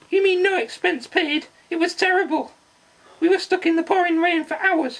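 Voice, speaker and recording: A cartoonish character voice at an extremely high pitch and moderate pace. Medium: puppet.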